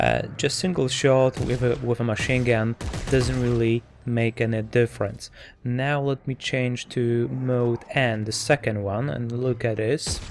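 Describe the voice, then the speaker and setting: This man has a non-native accent. He speaks at a medium pitch with fairly even intonation. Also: fairly slow pace. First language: not English. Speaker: tech reviewer. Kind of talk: product review tutorial. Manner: hesitant, many fillers and repeats.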